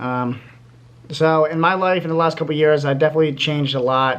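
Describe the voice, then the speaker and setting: The speaker is a man with monotone, flat intonation. He talks at a fairly quick pace. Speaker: YouTuber giving life advice. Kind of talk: casual vlog talk to camera. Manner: fast; halting, many fillers.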